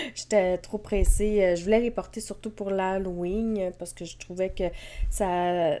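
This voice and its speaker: A woman speaks in a Quebec accent with a dark, mellow tone. The recording is very clean, with a silent background. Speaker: knitting podcaster. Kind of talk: casual vlog chat. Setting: at home with cats. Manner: hesitant, many fillers.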